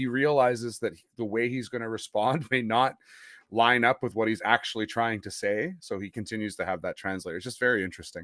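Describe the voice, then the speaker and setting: Speaking fairly quickly with a Western Canadian accent, a man keeps a medium pitch with ordinary pitch variation while his loudness swings widely, on a very clean recording with a silent background. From Western Canada (Winnipeg). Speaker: sports podcast host. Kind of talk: casual interview chat.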